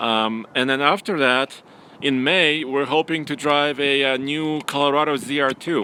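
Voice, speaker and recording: With a Russian accent and fairly high pitch, a man speaks in fairly even intonation over noticeable background noise. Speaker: automotive journalist and producer. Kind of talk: live stream casual chat.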